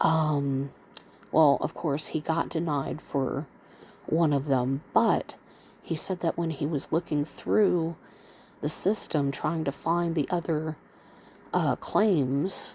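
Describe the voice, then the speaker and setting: Quiet and very slow, a woman with an American accent speaks in a very deep, low pitch with a dark, mellow tone and long, frequent pauses. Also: ordinary pitch variation. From US South, Mississippi. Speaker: vlogger, bedbound stroke and kidney patient. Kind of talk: casual monologue vlog. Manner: speaking low, quiet.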